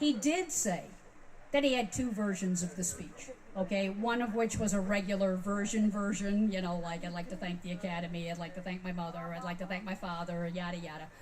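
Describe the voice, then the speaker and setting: Amid noticeable background noise and audible room echo, a woman talks at a fairly quick pace with medium pitch and ordinary pitch variation. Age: 60s. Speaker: music industry veteran speaking at a fan convention. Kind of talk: convention talk. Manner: animated.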